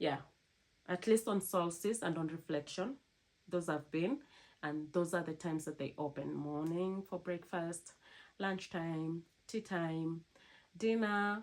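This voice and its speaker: A woman speaks at a fairly slow pace with long, frequent pauses, her fairly low pitch showing ordinary variation. The recording is very clean with a silent background. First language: not English. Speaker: cruise ship crew member vlogger. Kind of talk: casual vlog talk to camera.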